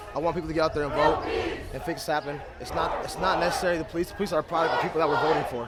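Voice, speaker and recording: Amid noticeable background noise and audible room echo, a man speaks at a very fast pace with a fairly high pitch and fairly even intonation. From South Dakota, Sioux Falls. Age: 20s. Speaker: protester, musician. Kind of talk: street interview.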